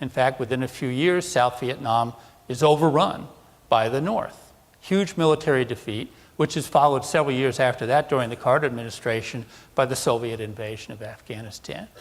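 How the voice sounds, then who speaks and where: A man has an ordinary speaking voice at a medium pitch, with an American accent and ordinary pitch variation. He talks at a fairly quick pace in a very clean recording with a silent background. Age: 60s. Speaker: defense analyst. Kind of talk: conference presentation.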